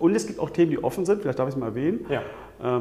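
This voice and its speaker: A man talks at a medium pitch. His intonation is lively. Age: 50s. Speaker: management consultant, coaching client. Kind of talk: interview. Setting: on location overlooking a Hamburg street. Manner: hesitant, many filler sounds.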